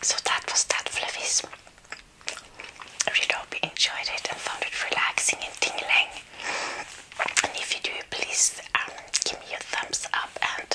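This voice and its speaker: Whispering and soft-spoken, a woman talks at a moderate pace with long, frequent pauses. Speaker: ASMR creator. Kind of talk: soft-spoken ASMR eating chat. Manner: soft ASMR whisper, close mic. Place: home room.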